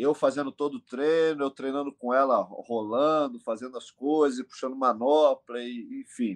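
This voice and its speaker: With an unremarkable speaking voice, a man talks at a moderate pace with hardly any pauses, fairly high pitch and fairly even intonation, in a dry, close sound with no echo. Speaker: MMA coach and team owner. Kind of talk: casual interview.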